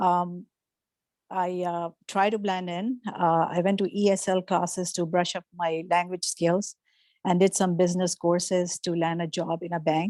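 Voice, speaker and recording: A woman with a Pakistani accent speaks at a fairly low pitch and a moderate pace, in a monotone, flat intonation with a dark, mellow tone. The sound is dry and close with no echo, on a very clean recording with a silent background. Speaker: workshop speaker. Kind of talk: testimony. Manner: halting.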